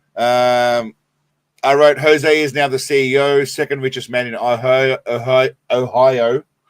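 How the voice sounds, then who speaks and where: Heard in a dry, close sound with no echo, a man with an Australian accent uses a medium pitch and fairly even intonation. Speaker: live streamer. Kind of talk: casual live stream chat.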